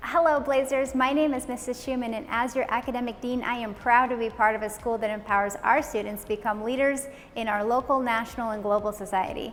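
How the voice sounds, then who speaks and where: Amid noticeable background noise, a woman talks very fast with hardly any pauses, using a high pitch and fairly even intonation. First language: Italian. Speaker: school academic dean. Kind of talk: scripted video announcement.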